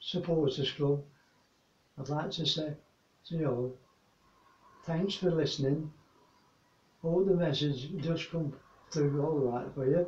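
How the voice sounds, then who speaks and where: Audible room echo surrounds a man speaking at a fairly slow pace. His fairly high voice is somewhat breathy, with fairly even intonation. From England. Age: 80s+. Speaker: war veteran. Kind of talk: recorded address to an audience. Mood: earnest, warm, solemn. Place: home room.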